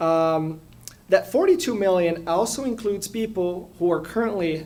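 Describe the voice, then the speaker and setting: A man's high voice with very wide pitch swings and a Portuguese accent. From Brazil, São Paulo. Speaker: immigration lawyer. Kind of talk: public talk at community forum. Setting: community forum with audience.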